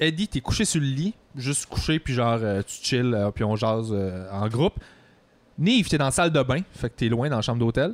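With a Quebec accent, a man talks at a moderate pace and medium pitch with lively intonation, in a dry, close sound with no echo. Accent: Québécois French. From Quebec (Longueuil). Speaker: podcast host. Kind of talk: casual chat.

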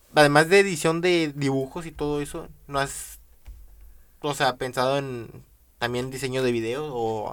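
Here is a man with an unremarkable speaking voice, fairly high in pitch with ordinary pitch variation. The recording is very clean, with a silent background. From Venezuela. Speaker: podcast host. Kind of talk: interview.

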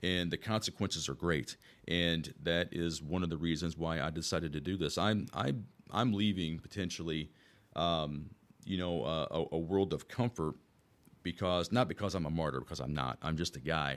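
The man's pitch is very deep and low, with vocal fry and ordinary pitch variation. He speaks at a moderate pace in a very clean recording with a silent background. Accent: American. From Southern Illinois, US Midwest. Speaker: police officer and state senate candidate. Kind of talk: interview, campaign-style answers.

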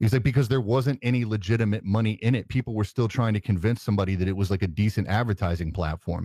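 A man talks very fast with hardly any pauses, his pitch fairly low and his pitch variation ordinary. His loudness stays very even, the voice is somewhat breathy, and the recording is very clean over a silent background. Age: 40s. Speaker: tech content creator. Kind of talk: casual chat. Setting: live stream.

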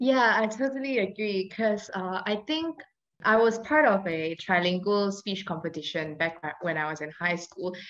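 Lively intonation runs through this woman's ordinary speaking voice, which sits at a medium pitch and moves at a moderate pace. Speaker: law student podcast host. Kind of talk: interview.

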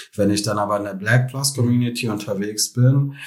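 A man speaks with a fairly low pitch and ordinary pitch variation. His voice is somewhat breathy. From Germany, Krefeld (North Rhine-Westphalia). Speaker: tech marketing specialist. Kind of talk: interview. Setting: in person.

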